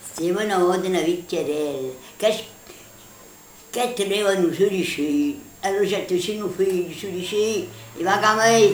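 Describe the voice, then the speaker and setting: With a Neapolitan accent, a woman at a medium pitch speaks very slowly, using ordinary pitch variation and long, frequent pauses against noticeable background noise. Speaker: grandmother storyteller. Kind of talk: children's folk tale told at home.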